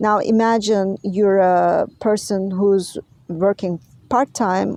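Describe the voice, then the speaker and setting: Speaking very slowly, a woman with a non-native accent has a dark, mellow tone. Her pitch is medium and her intonation fairly even. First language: not English. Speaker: health and wellness vlogger. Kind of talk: advocacy vlog monologue. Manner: halting, many filler words.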